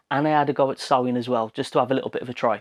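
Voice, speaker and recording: The speech comes at a very fast pace in a dry, close sound with no echo and a quiet background. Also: man. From West Midlands, Wolverhampton. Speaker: woodworking YouTuber. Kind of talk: tutorial narration. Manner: casual, chatty.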